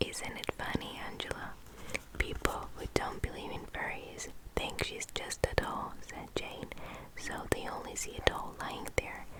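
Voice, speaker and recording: A fairly slow whisper comes through noticeable background noise. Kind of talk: whispered book reading for relaxation. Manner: whispered, soft, close-mic.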